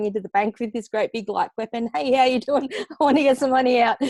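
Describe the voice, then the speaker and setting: Recorded dry and close with no echo, a woman talks at a very fast pace. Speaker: copywriter, former army nurse. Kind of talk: podcast interview.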